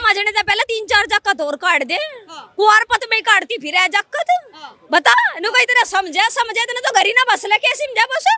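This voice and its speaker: With a Haryana accent, a woman projects her raised voice at an extremely high pitch. She moves at a moderate pace with lively intonation. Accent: Haryanvi. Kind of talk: street interview answer. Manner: blunt, forceful.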